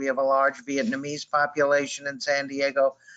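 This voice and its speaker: Speaking in an East Coast US accent, a man with fairly high pitch keeps a moderate pace. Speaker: prevention specialist. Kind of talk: webinar presentation.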